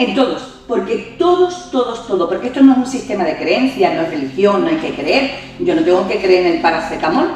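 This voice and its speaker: Over music in the background, a woman speaks fairly quickly with a fairly high pitch and very wide pitch swings, while audible room echo surrounds her. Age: 60s. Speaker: yoga teacher and reiki master. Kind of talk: interview conversation.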